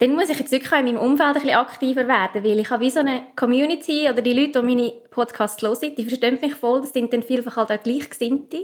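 Speaking at a very fast pace, a woman with a Central Swiss accent uses a high pitch and fairly even intonation. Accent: Obwalden Swiss German dialect. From central Switzerland, canton Obwalden. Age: young. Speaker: spiritual coach and podcaster. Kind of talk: interview. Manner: calm, soothing.

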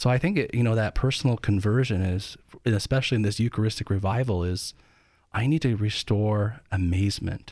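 In a very clean recording with a silent background, a man with an ordinary speaking voice and fairly low pitch talks at a fairly quick pace, with ordinary pitch variation and very even loudness. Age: 40s. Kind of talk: radio interview.

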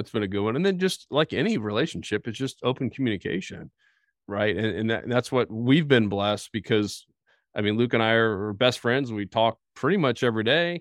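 The delivery moves along at a fairly quick clip. Its intonation rises and falls in a lively way. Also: man, medium pitch for a man. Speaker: fishing business co-founder. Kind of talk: interview. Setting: home podcast room. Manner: animated.

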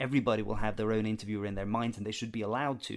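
A man speaks with a Norwegian accent at a fairly low pitch. The recording is very clean, with a silent background. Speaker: theater director and audio drama producer. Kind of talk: podcast interview. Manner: halting, many fillers.

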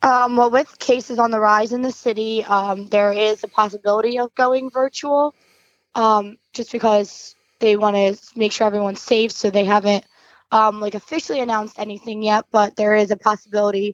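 With an unremarkable speaking voice, a woman at a fairly high pitch talks at a moderate pace with fairly even intonation, in a dry, close sound with no echo. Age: 20s. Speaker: teacher. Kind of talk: interview. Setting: phone call.

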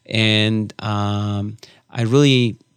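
Very clean and recorded against a silent background, a man talks at a medium pitch with fairly even intonation. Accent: Spanish. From Argentina, rural Córdoba province. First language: Spanish. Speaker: immigration attorney, nonprofit director. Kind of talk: interview.

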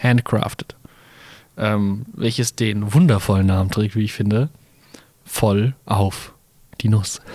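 A man with a fairly low voice speaks at a very slow pace, leaving long, frequent pauses. His pitch varies in an ordinary way, and the sound is dry and close with no echo. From Mainz, Germany. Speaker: podcast co-host. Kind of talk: casual chat. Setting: carnival float. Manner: hesitant, many fillers.

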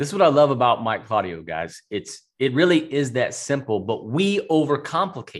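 With hardly any pauses, a man talks at a fairly high pitch, using very wide pitch swings. His voice carries vocal fry. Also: moderate pace. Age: 40s. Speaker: podcast host and entrepreneur. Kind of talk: casual interview chat. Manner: animated.

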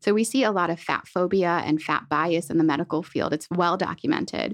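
A woman's normal speaking voice with a General American accent, fairly low in pitch, ordinary pitch variation, dry and close with no echo, against a quiet background. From central Pennsylvania. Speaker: dietitian. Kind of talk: interview.

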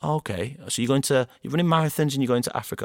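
A man with a Greater Manchester accent talks at a fairly quick pace. The recording is very clean, with a silent background and a dry, close sound with no echo. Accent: Greater Manchester (Bolton), northern English. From Bolton, Greater Manchester. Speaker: founder of a storytelling podcast, fundraiser and former footballer. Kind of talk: casual interview chat.

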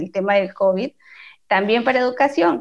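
A woman with an unremarkable speaking voice, fairly high in pitch. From Peru. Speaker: podcast co-host. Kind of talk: casual interview.

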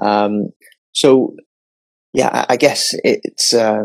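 A man with an English accent. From England, London and the north. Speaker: podcast host. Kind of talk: casual chat. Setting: video call. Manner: halting.

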